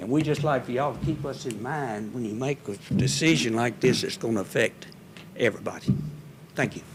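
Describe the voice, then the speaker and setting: A man with a Mississippi accent talks at a fairly quick pace, his pitch medium with ordinary variation. Noticeable background noise runs under the recording. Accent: Mississippi Southern US. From US South, Hernando, Mississippi. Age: 80s+. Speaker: resident speaking at public hearing. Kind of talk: public comment at city meeting. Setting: city hall board room meeting.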